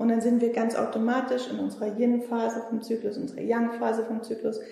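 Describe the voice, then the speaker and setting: A woman speaks in a fairly high pitch with ordinary pitch variation. The room echo is audible. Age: 40s. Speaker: naturopath practising Chinese medicine. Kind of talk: casual interview.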